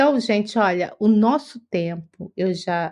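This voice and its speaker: A woman speaks at a very slow pace. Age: 50s. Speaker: spiritist study presenter. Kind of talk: livestream study talk. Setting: live stream.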